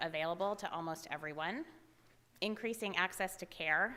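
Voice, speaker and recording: Her tone is bright and sharp, and the woman's pitch sits in the medium range. The pitch variation is ordinary. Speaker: health policy presenter. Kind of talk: conference presentation. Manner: fast.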